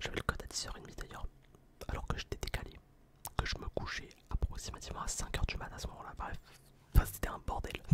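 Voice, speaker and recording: Whispering at a fairly quick pace in a relaxed tone, a man is heard over noticeable background noise. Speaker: ASMR content creator. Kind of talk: casual storytime to camera. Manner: whispered, relaxed.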